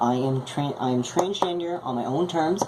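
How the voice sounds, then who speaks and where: A woman with a very deep, low pitch and lively intonation at a moderate pace, amid audible room echo and noticeable background noise. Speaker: vlogger. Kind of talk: video blog monologue. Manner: halting.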